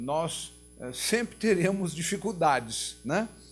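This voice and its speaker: A man talks at a fairly high pitch while music plays behind him. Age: 70s. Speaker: nonprofit executive. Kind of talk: opening remarks at a talk.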